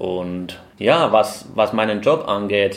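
His voice has a fairly low pitch. The man speaks with fairly even intonation. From Finland. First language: Finnish (speaking German). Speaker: opera répétiteur. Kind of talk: casual interview.

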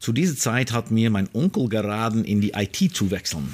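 A man with a Dutch accent speaks at a moderate pace in a fairly low voice with lively intonation, on a very clean recording with a silent background. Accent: Dutch accent in German, non-native. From Netherlands. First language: Dutch (speaking German). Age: 50s. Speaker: information security executive. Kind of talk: interview. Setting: outdoors in a garden. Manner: halting, many fillers.

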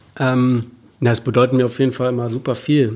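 A man's dark, mellow voice at medium pitch, very fast and in a flat monotone. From Berlin, Germany. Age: 20s. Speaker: field hockey player. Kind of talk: casual interview.

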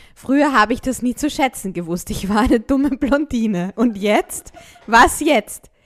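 Her voice is high for a woman, with lively intonation at a moderate pace, dry and close with no echo, though noticeable background noise sits behind it. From Austria, Vienna. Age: 30s. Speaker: singer-songwriter. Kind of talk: casual chat.

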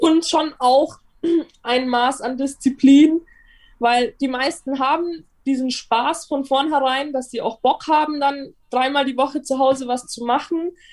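The pace is fairly slow. Intonation stays fairly even throughout. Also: woman, high pitch for a woman. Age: 20s. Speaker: pole dance and yoga enthusiast. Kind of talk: casual chat.

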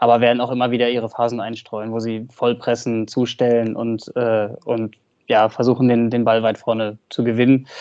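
At a moderate pace, a man with a medium-pitched voice speaks in a monotone, flat intonation. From northern Germany, Oldenburg. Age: 20s. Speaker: youth football coach. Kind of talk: podcast interview.

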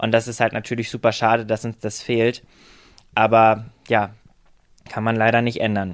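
A man's moderate-paced, monotone speech at medium pitch with flat intonation and long, frequent pauses, over a quiet background. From eastern Germany, Halle an der Saale. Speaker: influencer and veterinary student. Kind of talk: casual interview. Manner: hesitant with many fillers.

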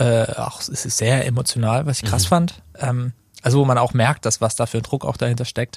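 This man's voice sits at a medium pitch and is somewhat breathy. He talks at a fairly quick pace with fairly even intonation. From Baden, Karlsruhe area. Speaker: singer-songwriter. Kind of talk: casual interview. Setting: studio.

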